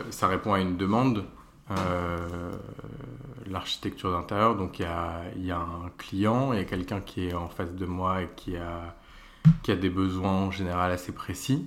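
A man's very deep, low voice at a fairly slow pace, with fairly even intonation, long and frequent pauses, and audible room echo. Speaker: interior architect. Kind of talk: interview. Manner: hesitant, many fillers.

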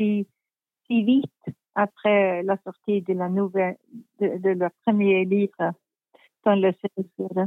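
A woman is speaking. Her pace is very slow. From Sweden, Stockholm. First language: Swedish (speaking French). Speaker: crime novelist. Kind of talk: interview. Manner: halting.

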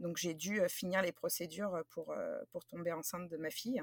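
A woman with an unremarkable speaking voice and a fairly low pitch talks at a moderate pace in a dry, close sound with no echo. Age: 30s. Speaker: craft business owner, former teacher. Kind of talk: interview.

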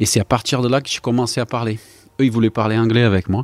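The recording of this man is very clean, the background silent. No echo colors the dry, close sound. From Brazil. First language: Portuguese (speaking French). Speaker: retired footballer. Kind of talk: interview. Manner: halting.

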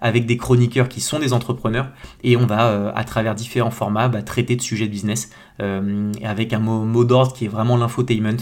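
Flat, monotone delivery at a moderate pace. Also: man. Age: 30s. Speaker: agency founder and podcaster. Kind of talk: solo podcast monologue. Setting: home bedroom. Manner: casual, hesitant with many fillers.

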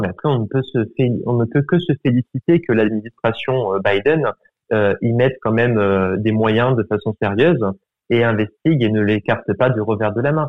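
In a plain, everyday voice, a man talks at a moderate pace, his medium pitch moving with ordinary variation. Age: 20s. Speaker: student. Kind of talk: casual interview.

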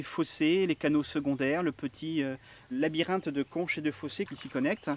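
This man has a plain, everyday voice, a fairly high pitch and a fairly quick pace, heard in a dry, close sound with no echo. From Marais Poitevin, western France. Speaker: historian. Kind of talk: field interview.

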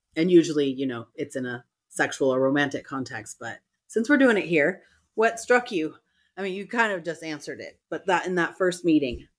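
In an American accent, a woman with a fairly low voice talks at a fairly quick pace, her pitch swinging very widely and her loudness rising and falling sharply, on a very clean recording with a silent background. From US West Coast, San Francisco Bay Area. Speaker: sex and relationship coach, podcast co-host. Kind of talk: casual chat.

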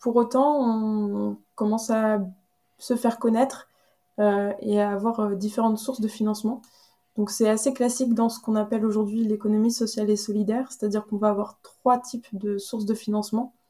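In a very clean recording with a silent background, a woman with a fairly high pitch speaks at a moderate pace in a flat monotone, her tone dark, mellow and somewhat breathy. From Brittany, central (Carhaix). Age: 30s. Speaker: association co-founder. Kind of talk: interview. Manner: hesitant, frequent fillers.

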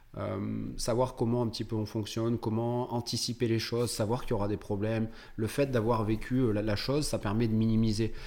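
This man has a medium pitch and a monotone, flat intonation. He talks at a fairly quick pace. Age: 30s. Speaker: entrepreneur, tax optimisation expert, former physiotherapist. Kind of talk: casual interview.

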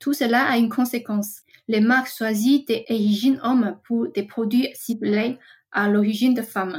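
A woman speaks at a moderate pace with a fairly high pitch. Her voice is somewhat breathy and her intonation fairly even. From Taiwan. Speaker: trend researcher. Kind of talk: scripted segment. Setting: recording at home.

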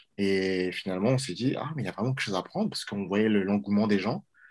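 This man's fairly low voice shows ordinary pitch variation, captured in a very clean recording with a silent background. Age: 20s. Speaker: watch brand co-founder. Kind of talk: interview. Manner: halting, with repetitions.

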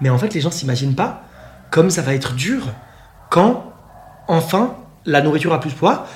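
A man with a fairly high pitch and lively intonation speaks at a moderate pace with long, frequent pauses. Room echo is audible, along with noticeable background noise. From Switzerland. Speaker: eating disorder coach. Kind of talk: casual chat. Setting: in person, sitting on a sofa.

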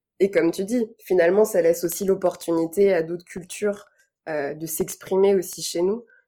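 Her tone dark and mellow, a woman speaks at a moderate pace with fairly even intonation. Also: medium pitch for a woman. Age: 30s. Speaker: former editor-in-chief, tech community communicator. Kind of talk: casual podcast interview.

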